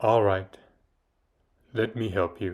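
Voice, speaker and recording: A man performs a put-on character voice. The background is quiet. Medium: read story. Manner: menacing, commanding.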